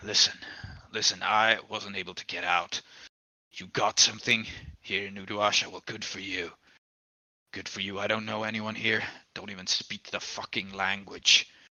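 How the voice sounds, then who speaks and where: A man puts on a character voice that is raspy and growling, with a fairly low pitch and a monotone, flat intonation. He holds a moderate pace with long, frequent pauses. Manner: growling, defensive.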